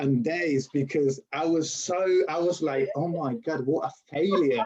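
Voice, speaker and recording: A man with a strong Spanish accent and a fairly high pitch speaks at a very slow pace with lively intonation. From Spain. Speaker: university lecturer. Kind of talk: interview. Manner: halting.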